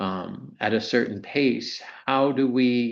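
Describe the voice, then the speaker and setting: A man with an American accent talks at a medium pitch, with audible echo from the room. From US Mid-Atlantic (Maryland). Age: 60s. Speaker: insurance executive. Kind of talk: lecture.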